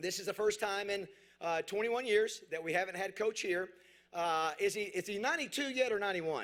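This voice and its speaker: A man with a high-pitched voice talks at a fairly quick pace, his pitch varying in an ordinary way. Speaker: awards ceremony emcee. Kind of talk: ceremony speech. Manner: fast; up-tempo.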